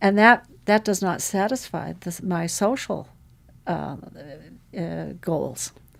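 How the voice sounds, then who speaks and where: A woman with an American accent speaks at a very slow pace with vocal fry. She leaves long, frequent pauses. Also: medium pitch for a woman, ordinary pitch variation. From Montana. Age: 70s. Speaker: rancher and tech entrepreneur. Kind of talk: interview. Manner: halting.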